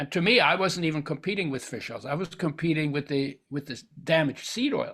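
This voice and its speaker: The voice has a bright, sharp tone with ordinary pitch variation at a fairly quick pace. The recording is very clean, with a silent background. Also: man, fairly high pitch for a man. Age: 80s+. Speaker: health author and supplement founder. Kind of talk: interview. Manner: halting with many restarts.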